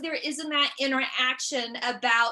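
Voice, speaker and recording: Raising and projecting her voice, a woman with an American accent talks fairly slowly at a high pitch in a bright, sharp tone with fairly even intonation. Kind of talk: stand-up style keynote talk. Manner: halting, with repeated syllables.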